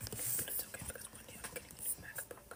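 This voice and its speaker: Over noticeable background noise, a whispering voice rushes along at a very fast pace. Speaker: ASMR live streamer. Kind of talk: casual live stream chat.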